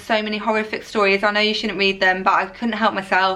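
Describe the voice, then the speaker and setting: At a fairly quick pace, a woman talks at a medium pitch with a monotone, flat intonation over noticeable background noise. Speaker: vlogger, new mother. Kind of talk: casual Q&A vlog. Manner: fast.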